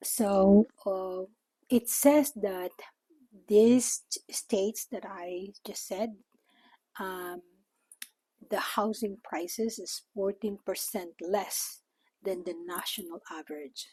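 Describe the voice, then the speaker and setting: At a very slow pace with long, frequent pauses, a woman with a Filipino accent speaks in a dark, mellow tone with ordinary pitch variation, the sound dry and close with no echo. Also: medium pitch for a woman, big swings in loudness. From Philippines. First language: Tagalog. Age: 60s. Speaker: retiree vlogger. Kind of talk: casual vlog talk. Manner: hesitant with fillers.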